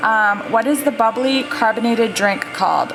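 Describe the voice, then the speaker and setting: A woman speaks with a fairly high pitch. Music plays in the background. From Maine. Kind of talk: casual talk to camera.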